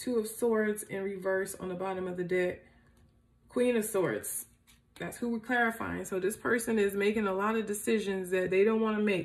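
The delivery moves at a moderate pace. Intonation stays fairly even. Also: woman. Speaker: tarot reader. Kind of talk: tarot reading commentary. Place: home room.

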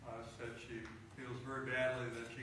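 A man speaks in a space with strong room echo. Noticeable background noise runs underneath. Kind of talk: prayer concerns announcements. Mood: earnest, somber. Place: church. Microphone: camera far.

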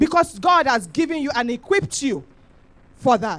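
A woman is speaking. Her pace is moderate. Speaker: preacher. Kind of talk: sermon. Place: church. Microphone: handheld.

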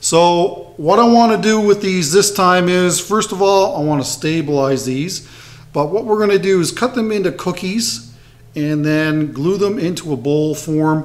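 Here a man speaks with a high pitch. His pace is fairly slow. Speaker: woodturning channel host. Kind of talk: casual tutorial intro. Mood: upbeat, friendly. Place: workshop.

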